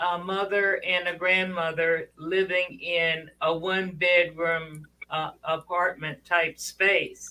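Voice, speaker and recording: Very slowly, a woman speaks with a bright, sharp tone at a medium pitch. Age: 70s. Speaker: panelist on women's talk webinar. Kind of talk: casual chat. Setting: studio. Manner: halting.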